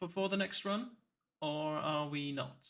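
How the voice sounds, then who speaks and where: A man's bright, sharp tone at a fairly slow pace. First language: German. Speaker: speedrunner streamer. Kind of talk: live commentary. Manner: halting.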